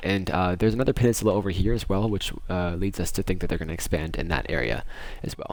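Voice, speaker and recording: Very deep and low, this man's voice rushes along at a very fast pace. His pitch varies in an ordinary way. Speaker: gaming YouTuber. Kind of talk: game tutorial walkthrough. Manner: halting, many fillers.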